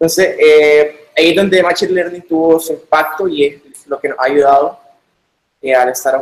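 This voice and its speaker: This man has an ordinary speaking voice with fairly even intonation. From Nicaragua. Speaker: software developer. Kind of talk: technical talk in video call.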